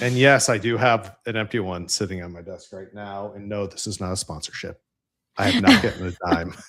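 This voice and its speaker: A man with a slight Central New York accent, fairly low pitch, fairly even intonation, a fairly quick pace and big swings in loudness. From upstate New York. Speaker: engineering leader. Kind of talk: casual interview chat.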